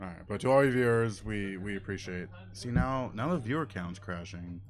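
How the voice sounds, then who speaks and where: The voice moves at a fairly quick pace with ordinary pitch variation. Loudness swings widely, and audible room echo surrounds it. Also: man. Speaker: stream host. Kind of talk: casual chat. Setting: live stream. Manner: halting.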